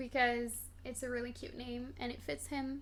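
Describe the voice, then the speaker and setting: The woman is soft-spoken and keeps a moderate pace. Audible room echo surrounds her voice. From Morocco. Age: 20s. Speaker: streamer answering chat questions. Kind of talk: casual chat.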